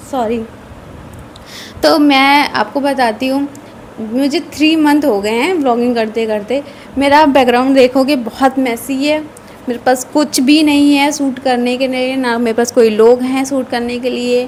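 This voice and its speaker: Against noticeable background noise, a woman talks in a high voice with fairly even intonation. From northern India, Uttar Pradesh (Kanpur). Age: 20s. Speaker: vlogger. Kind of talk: casual chat.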